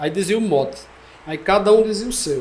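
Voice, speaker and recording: A man with a Pernambuco accent, high-pitched, at a moderate pace. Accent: Northeastern Brazilian, Pernambuco sertão. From São José do Egito, Pernambuco. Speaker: poet and declaimer. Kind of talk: casual podcast conversation, storytelling.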